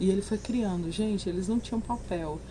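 A woman with a medium pitch speaks at a moderate pace and with fairly even intonation over noticeable background noise. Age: 40s. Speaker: book podcaster. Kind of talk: book review monologue. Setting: outdoors.

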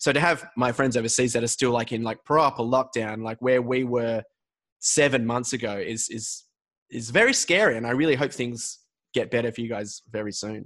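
Against a quiet background, a man with an Australian accent talks at a medium pitch and moderate pace, his intonation fairly even. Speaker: podcast host. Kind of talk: casual chat. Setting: video call.

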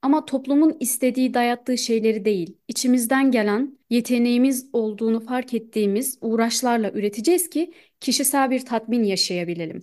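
Against a quiet background, a woman talks at a moderate pace in an unremarkable speaking voice, her pitch fairly high with ordinary variation. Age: 20s. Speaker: podcast co-host. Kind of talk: casual chat.

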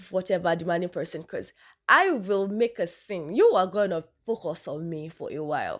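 In a very clean recording with a silent background, a woman with a northern Nigerian accent speaks at a moderate pace in an animated tone. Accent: Nigerian (northern, Hausa). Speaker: podcaster. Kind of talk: casual talk.

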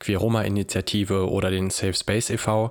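A man talks in a monotone, flat intonation at a fairly low pitch. The recording is very clean, with a silent background. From Germany, Hanau (Hesse). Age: 20s. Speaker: social worker and anti-racism activist. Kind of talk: interview.

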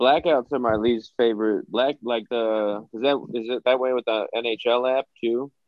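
In a normal speaking voice of medium pitch, a man talks at a fairly slow pace with fairly even intonation and hardly any pauses. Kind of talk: casual comedy podcast chat.

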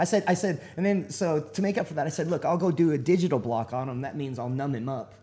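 With a Texan accent, a man talks at a very fast pace with hardly any pauses, lively intonation, a fairly high pitch, a dark, mellow tone and a somewhat breathy quality. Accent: Texan American English. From Texas. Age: 40s. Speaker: military veteran, navy corpsman. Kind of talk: interview.

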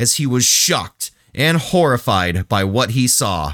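A man with very wide pitch swings, in a dry, close sound with no echo. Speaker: podcast co-host. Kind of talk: casual comedic podcast chat, reading sources aloud. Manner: relaxed, laid-back, joking.

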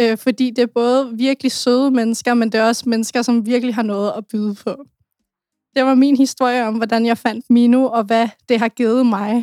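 A woman's high-pitched voice with a dark, mellow tone, monotone and flat in intonation, at a moderate pace, with a dry, close sound and no echo. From Denmark. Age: 20s. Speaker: youth association volunteer. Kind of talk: personal testimony.

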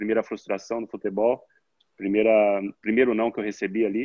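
A medium-pitched man's voice in a monotone, flat intonation. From interior of São Paulo state, Brazil. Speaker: professional football player. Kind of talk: casual interview. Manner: halting, many repeated words.

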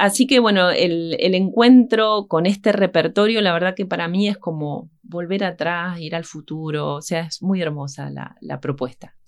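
A woman talks in a normal speaking voice at a fairly low pitch with ordinary pitch variation. Her pace is fairly slow, with hardly any pauses. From Argentina, Entre Ríos (Concepción del Uruguay). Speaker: harpist and music teacher. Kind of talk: radio interview. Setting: radio studio.

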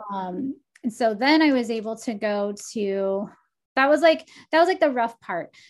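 In a very clean recording with a silent background, a woman with an American accent speaks at a moderate pace. Hers is an ordinary speaking voice, fairly high in pitch with lively intonation. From Texas. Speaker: life coach and oracle. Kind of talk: casual interview chat.

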